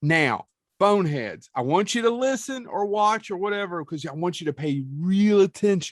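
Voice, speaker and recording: A man with an Appalachian accent at a high pitch, with lively intonation, a moderate pace and a quiet background. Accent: Appalachian Southern US. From eastern Kentucky (Leslie County). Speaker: podcast host. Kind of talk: casual chat.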